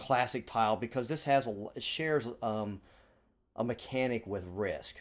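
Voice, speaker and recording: At a fairly slow pace, a man talks at a medium pitch with ordinary pitch variation in a plain, everyday voice. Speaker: board game podcast host. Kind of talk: casual chat.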